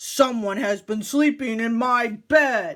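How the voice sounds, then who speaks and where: The voice is a put-on character voice with a fairly high pitch. It moves at a fairly slow pace. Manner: growling.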